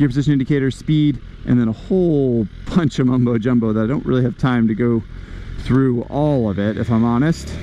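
With a dry sound and no echo, a man talks at a moderate pace and ordinary pitch variation as light background noise plays. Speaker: motorcycle reviewer. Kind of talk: commentary. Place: motorbike. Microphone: helmet.

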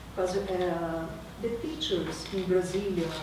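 A woman with a Brazilian accent speaks at a very slow pace. Audible room echo and noticeable background noise surround her. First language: Portuguese. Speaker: university professor and researcher. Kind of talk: academic lecture. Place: hall. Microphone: camera far.

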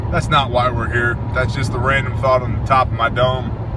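Noticeable background noise sits behind a man whose voice sounds dry with no echo. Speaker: prepper channel host. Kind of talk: casual talk to camera. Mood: joking, relaxed. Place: car. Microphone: phone near.

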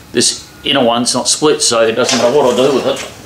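Audible room echo and light background noise accompany a man speaking at a fairly quick pace in a monotone, flat intonation. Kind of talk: tutorial. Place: workshop. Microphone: camera far.

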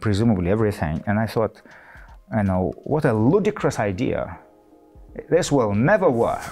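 Faint music plays in the background while the voice moves at a moderate pace. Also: man. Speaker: professor being interviewed. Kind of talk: interview answer. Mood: relaxed, amused. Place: studio. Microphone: lapel.

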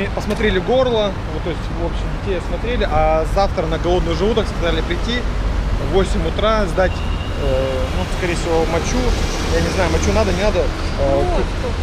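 Through loud background noise, a man can be heard talking at a moderate pace. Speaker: travel vlogger. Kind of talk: casual vlog chat.

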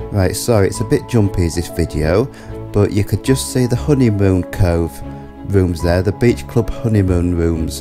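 A very deep, low male voice at a moderate pace, with very wide pitch swings and music in the background. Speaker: holiday vlogger. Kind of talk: casual travel commentary.

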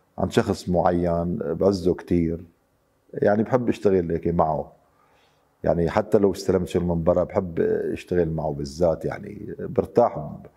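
In a quiet background, a man speaks fairly slowly with a very deep, low pitch and a dark, mellow tone. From Syria, Damascus. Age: 50s. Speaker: wood carver. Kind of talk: interview testimony. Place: workshop.

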